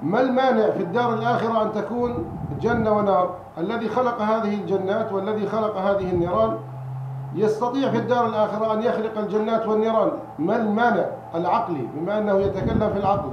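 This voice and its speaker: Noticeable background noise runs behind a high-pitched man. He speaks at a moderate pace with very even loudness and fairly even intonation. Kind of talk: lecture. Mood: calm, earnest argument. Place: home room. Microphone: handheld.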